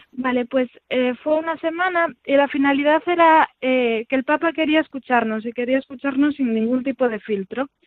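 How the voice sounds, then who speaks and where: A woman speaks in a high pitch. She barely pauses at all. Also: ordinary pitch variation, moderate pace. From Galicia, Vigo. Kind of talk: interview testimony. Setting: phone call.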